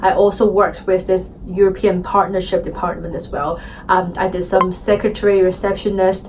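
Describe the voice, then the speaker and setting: A woman's medium-pitched voice with a non-native accent, monotone and flat in intonation at a moderate pace, amid noticeable background noise. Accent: foreign. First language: Chinese. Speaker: interviewee. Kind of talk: interview. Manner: hesitant, many fillers.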